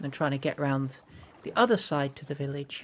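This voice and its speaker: A woman with an English Midlands accent. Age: 40s. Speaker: gaming streamer. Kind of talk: live gameplay stream chat. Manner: halting, stumbling over words; mumbling.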